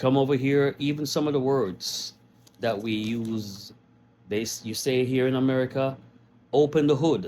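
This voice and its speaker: A man talks at a moderate pace and a medium pitch with ordinary pitch variation. Noticeable background noise runs under his voice. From Jamaica. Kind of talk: casual talk to camera.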